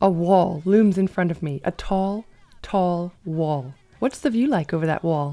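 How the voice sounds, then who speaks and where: A woman's fairly low, dark and mellow voice with ordinary pitch variation. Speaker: volleyball commentator and former Olympian. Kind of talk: casual talk to camera, reaction video. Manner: chatty, enthusiastic, joking.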